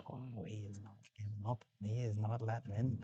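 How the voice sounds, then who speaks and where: A man whispering, somewhat breathy. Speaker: pool commentator. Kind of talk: live commentary.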